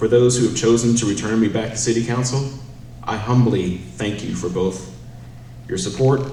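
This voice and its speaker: With an American accent, a man speaks at a moderate pace and medium pitch with fairly even intonation. Noticeable background noise and audible room echo are present. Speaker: city council candidate. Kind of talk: campaign closing statement.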